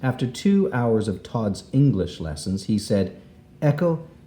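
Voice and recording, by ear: Someone is reading aloud in a natural voice.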